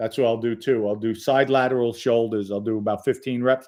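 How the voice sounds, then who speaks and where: Fairly even intonation and a moderate pace mark an ordinary speaking voice, heard in a very clean recording with a silent background. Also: man. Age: 50s. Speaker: livestream host, former mobster. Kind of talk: live chat reading viewer comments. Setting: livestream. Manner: casual, conversational.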